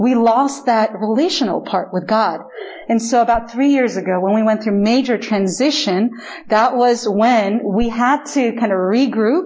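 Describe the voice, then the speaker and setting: Noticeable background noise sits behind a woman with a fairly high voice. She speaks at a moderate pace, with ordinary pitch variation and very even loudness. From Chile. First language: Spanish. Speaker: pastor. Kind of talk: sermon. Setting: church.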